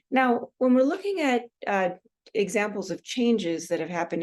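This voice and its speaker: In a West Coast US accent, a woman speaks at a fairly quick pace with lively intonation. Her background is quiet. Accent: US West Coast, cot-caught merger. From US Pacific Northwest, Seattle. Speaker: university instructor. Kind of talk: recorded online lecture. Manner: many fillers, uh and um.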